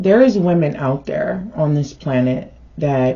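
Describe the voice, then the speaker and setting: With a very deep, low pitch, a somewhat breathy woman talks at a very slow pace using lively intonation. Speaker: tarot reader. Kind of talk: direct-to-camera vlog. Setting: on camera.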